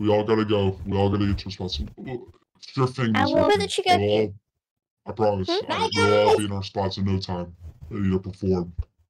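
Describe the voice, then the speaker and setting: A man's fairly low voice broken by long, frequent pauses. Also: moderate pace. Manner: protective, cautious, coaxing.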